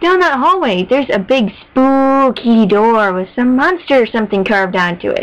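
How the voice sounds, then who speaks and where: Using a put-on character voice, a woman speaks at a high pitch with hardly any pauses. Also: moderate pace. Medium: read story. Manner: bubbly, upbeat.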